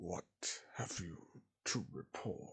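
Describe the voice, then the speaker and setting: A man puts on a character voice. It comes out growling. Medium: read story. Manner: commanding, haughty.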